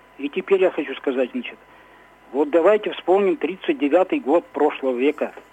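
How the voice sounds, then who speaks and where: A man talks at a high pitch and a moderate pace, with a dry, close sound with no echo and noticeable background noise. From Ukraine (Kirovohrad) until 6, then Izhevsk, Russia. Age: 60s. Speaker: radio caller. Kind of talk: phone-in opinion. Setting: phone call. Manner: halting.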